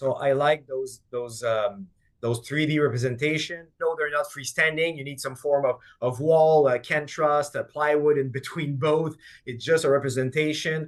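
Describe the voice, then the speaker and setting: This man's voice has a fairly high pitch. Fairly even intonation marks his speech. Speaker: energy management product advisor presenting. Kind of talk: webinar presentation. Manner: fast.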